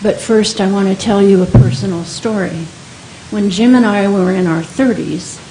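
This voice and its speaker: A woman talks at a fairly slow pace in a medium pitch. Noticeable background noise and audible room echo surround her voice. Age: 70s. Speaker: senior advocate, public commenter. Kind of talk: public comment at board meeting. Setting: county board meeting chamber.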